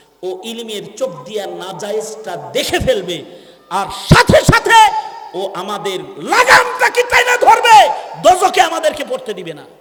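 A man's voice with big swings in loudness amid noticeable background noise. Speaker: Islamic preacher delivering a waz sermon. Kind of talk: Bangla Islamic waz sermon.

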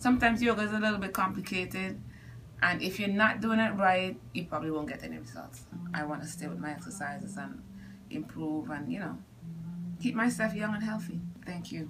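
The speech moves at a fairly quick pace with big swings in loudness. Music plays in the background. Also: woman. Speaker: scoliosis patient. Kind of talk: patient testimonial interview. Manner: casual, conversational. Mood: grateful, relieved. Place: office. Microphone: phone near.

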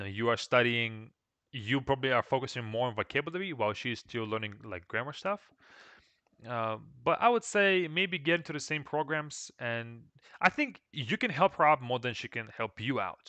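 A man in a Russian accent, bright and sharp in tone, with lively intonation, a dry sound with no echo and a quiet background. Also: moderate pace. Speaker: Russian language teacher. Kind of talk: live stream Q&A lesson. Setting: live stream with microphone. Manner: casual, repetitive with fillers. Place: home room. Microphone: headset.

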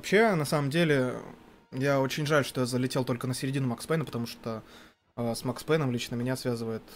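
Light background noise sits behind a man talking at a very fast pace. His pitch variation is ordinary. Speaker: gaming commentator. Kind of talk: live commentary. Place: studio. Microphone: headset.

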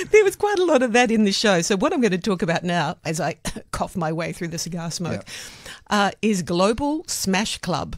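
The speaker uses a put-on character voice that is husky. It sits at a middle pitch and moves at a moderate pace. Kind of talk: radio review chat. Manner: burlesque.

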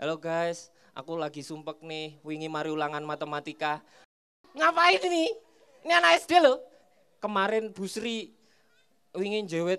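The speaker uses a playful tone at a moderate pace, with long, frequent pauses. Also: man. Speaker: stand-up comedian. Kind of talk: stand-up comedy set. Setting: stage with audience at a school. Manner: playful crowd banter, teasing audience members. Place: stage. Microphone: handheld.

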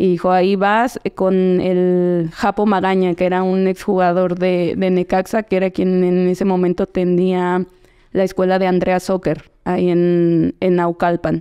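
A woman speaks at a medium pitch with a dark, mellow tone, flat monotone intonation and very even loudness. Her pace is fairly slow, with a quiet background. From central Mexico, State of Mexico. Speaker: professional footballer; podcast guest. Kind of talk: casual interview. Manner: hesitant, many fillers and repetitions. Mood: relaxed, reflective. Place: studio. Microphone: studio mic.

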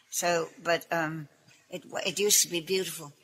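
A woman's voice over noticeable background noise. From England. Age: 80s+. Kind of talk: interview answer.

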